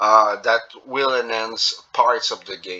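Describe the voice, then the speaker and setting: A man's voice is heard. It has a bright, sharp tone. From Quebec. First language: French. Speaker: gaming youtuber. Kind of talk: gameplay commentary. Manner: halting, many fillers.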